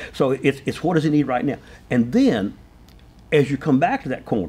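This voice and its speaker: A man talks at a fairly quick pace in a dark, mellow tone. His pitch swings very widely. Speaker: racing driver and driving instructor. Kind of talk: casual chat. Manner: fast.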